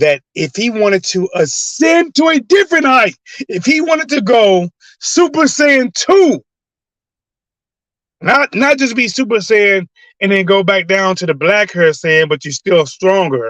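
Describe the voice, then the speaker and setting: A man's high-pitched, animated voice at a fairly slow pace, with very wide pitch swings and a dry, close sound with no echo. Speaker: sports commentary youtuber. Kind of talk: casual live commentary.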